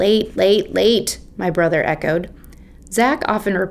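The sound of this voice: Ordinary variation in pitch across an unforced reading voice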